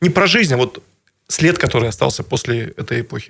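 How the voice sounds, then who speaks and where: A man talking at a fairly quick pace. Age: 30s. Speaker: regional politician and businessman. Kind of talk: radio interview. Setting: radio studio. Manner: halting, many fillers.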